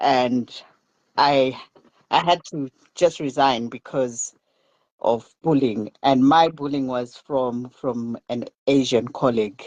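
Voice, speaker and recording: Long, frequent pauses break up the speech. The pace is very slow. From Zimbabwe. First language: a Southern African language. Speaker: podcast panelist. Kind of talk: casual chat. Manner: halting.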